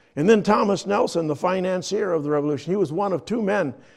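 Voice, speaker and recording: A man's high-pitched voice, dark and mellow in tone, with lively intonation. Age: 70s. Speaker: pastor. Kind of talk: sermon. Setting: church.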